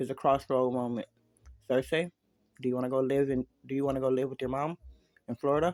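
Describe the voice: With little behind it but a quiet background, the clip is plain reading aloud.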